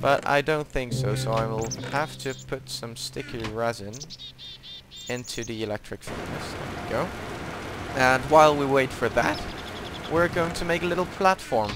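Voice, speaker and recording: Ordinary pitch variation marks a man's speech, with noticeable background noise behind him. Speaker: gaming video creator. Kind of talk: gameplay tutorial. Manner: hesitant, many fillers.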